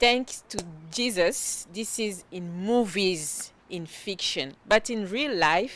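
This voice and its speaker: Over noticeable background noise, a woman with a French accent speaks very slowly at a medium pitch, with lively intonation and big swings in loudness. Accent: French-accented English, non-fluent. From DR Congo. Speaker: web series co-host. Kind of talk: casual conversation. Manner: halting.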